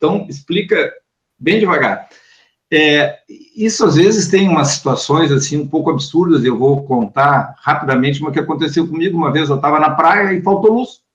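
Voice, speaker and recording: A plain, everyday voice from a man, pitched fairly high, moving at a moderate speed, its pitch varying in an ordinary way. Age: 60s. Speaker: lawyer and law professor. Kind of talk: online talk Q&A.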